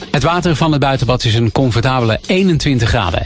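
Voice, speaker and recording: A man speaks at a fairly quick pace with lively intonation. Music plays in the background. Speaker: local news reader. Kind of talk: news reading. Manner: formal, steady.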